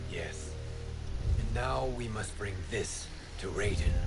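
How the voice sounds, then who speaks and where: Over loud background noise, a man does a cartoonish character voice at a fairly slow pace. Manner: calm, formal.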